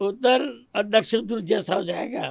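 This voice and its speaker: A man speaks with a high-pitched voice. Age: 80s+. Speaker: retired superintending engineer. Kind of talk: interview answer.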